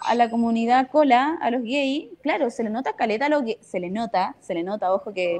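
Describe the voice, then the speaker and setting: A woman's ordinary speaking voice, fairly high in pitch, with ordinary pitch variation and a fairly quick pace. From northern Chile, Iquique. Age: 20s. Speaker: theatre director. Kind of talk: casual panel discussion.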